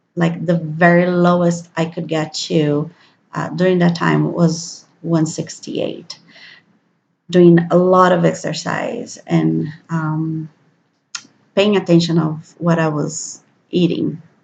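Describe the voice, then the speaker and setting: Very slowly and with monotone, flat intonation, a somewhat breathy woman speaks with a Brazilian Portuguese accent. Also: fairly low pitch for a woman. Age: 30s. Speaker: vlogger. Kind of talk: personal video diary. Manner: hesitant, many fillers.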